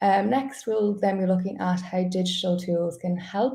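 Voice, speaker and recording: A woman's somewhat breathy, dark, mellow voice at medium pitch and a moderate pace, with ordinary pitch variation. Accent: Irish. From Ireland. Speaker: customer support staff, webinar host. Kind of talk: webinar presentation. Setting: live online webinar.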